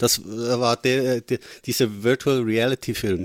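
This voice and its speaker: Heard in a very clean recording with a silent background and a dry, close sound with no echo, a man with a Swiss German accent talks at a very slow pace. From Switzerland. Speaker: film podcast co-host. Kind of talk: casual chat.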